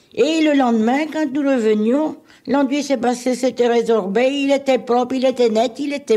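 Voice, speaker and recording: A dark, mellow voice in a Normandy accent, with ordinary pitch variation, at a moderate pace, on a very clean recording with a silent background. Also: woman. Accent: Normandy (Alençon). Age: 70s. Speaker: retired midwife. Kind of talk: interview answer. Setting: archival radio recording.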